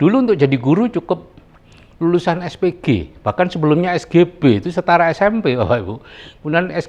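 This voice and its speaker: Here a man speaks at a very fast pace. His high-pitched voice carries lively intonation. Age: 70s. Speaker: retired doctor turned business presenter. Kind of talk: business seminar talk.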